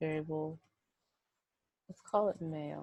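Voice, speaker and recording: A woman whispers quietly at a very slow pace. The sound is dry and close, with no echo. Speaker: statistics instructor. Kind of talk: screen-recorded software tutorial. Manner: whispered, quiet.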